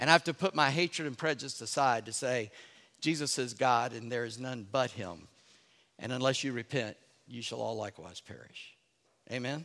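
A man's medium-pitched voice in a South Carolina Lowcountry accent, bright and sharp in tone, with ordinary pitch variation at a moderate pace. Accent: Southern US (South Carolina Lowcountry). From US South, North Charleston, South Carolina. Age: old. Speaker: pastor. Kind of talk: sermon. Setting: church. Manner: animated.

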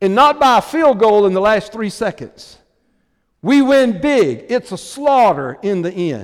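Speaking at a fairly slow pace, a man with a high pitch and a passionate, warm tone makes very wide pitch swings on a very clean recording with a silent background. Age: 60s. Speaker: visiting preacher. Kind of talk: revival sermon. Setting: church. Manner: passionate, rousing, exhortative; warm, folksy, storytelling with humor.

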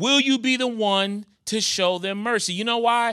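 In an American accent, the voice is raised and projected at a fairly slow pace. Its tone is warm and animated, as well as bright and sharp. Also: man. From New York. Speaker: guest preacher; pastor. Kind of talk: sermon. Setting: church. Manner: warm, animated, pulpit-style call and response.

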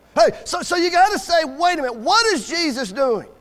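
A man at a moderate pace, his pitch swinging very widely, with noticeable background noise. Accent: American. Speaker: Baptist preacher. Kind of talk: sermon. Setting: church. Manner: animated, joking, rousing call-and-response with the congregation.

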